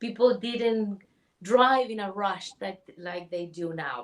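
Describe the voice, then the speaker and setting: A woman with a Chilean accent, fairly slow pace and lively intonation. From Chile, Santiago. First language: Spanish. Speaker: spiritual healer. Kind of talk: interview.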